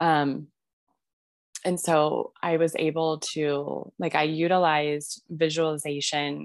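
Very slowly, a woman speaks in a very deep, low pitch with monotone, flat intonation. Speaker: mother sharing birth stories. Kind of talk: casual interview storytelling.

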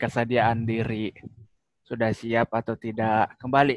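A man's medium-pitched voice at a moderate pace, monotone and flat, with a dry, close sound and no echo. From Makassar, South Sulawesi, Indonesia. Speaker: married man, guest.

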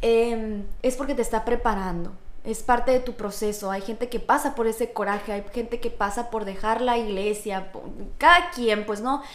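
Audible room echo surrounds a woman speaking at a moderate pace, her fairly high pitch showing ordinary variation. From Mexico, Sonora (Hermosillo). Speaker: teacher. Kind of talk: testimony.

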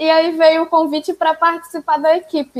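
A woman speaks at a moderate pace. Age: 20s. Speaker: pedagogy student and podcaster. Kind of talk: casual chat.

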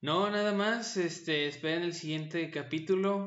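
A man's voice with audible room echo. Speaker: podcast host. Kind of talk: casual chat.

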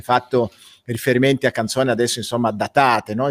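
A man speaks in a flat monotone, the sound dry and close with no echo. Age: middle-aged. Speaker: web show host and life coach. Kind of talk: casual interview chat.

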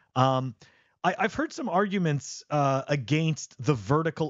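A man with a Canadian accent has an unremarkable speaking voice, a fairly high pitch and lively intonation. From Canada. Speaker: podcast co-host. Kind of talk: casual chat.

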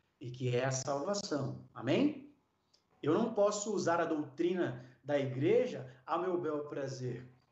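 Audible room echo surrounds a man with a fairly high pitch. He speaks at a very slow pace with lively intonation. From Brazil, São Paulo. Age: 40s. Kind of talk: interview; sermon.

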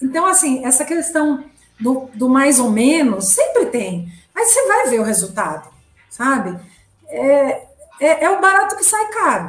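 Over music in the background and audible room echo, a woman speaks at a fairly slow pace in a high pitch with very wide pitch swings. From Brazil, São Paulo. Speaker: communication strategist. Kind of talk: interview. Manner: halting.

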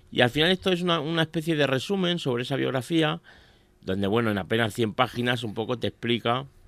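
In a very clean recording with a silent background, a man talks at a moderate pace with lively intonation. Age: 40s. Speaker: radio pundit on office and business topics. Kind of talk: casual radio chat. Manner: halting.

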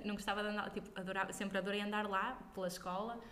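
A woman talks fairly quickly while audible room echo and noticeable background noise surround her. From northern Portugal, Braga. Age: young. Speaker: singer. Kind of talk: casual interview. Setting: at home.

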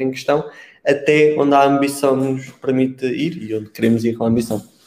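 A man's fairly high-pitched voice with a European Portuguese accent. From Portugal. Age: 20s. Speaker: e-commerce marketing consultant. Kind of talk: casual interview conversation.

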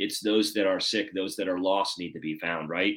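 A man speaks at a fairly low pitch in a bright, sharp tone. The recording is very clean, with a silent background. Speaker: podcast host. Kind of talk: casual interview chat.

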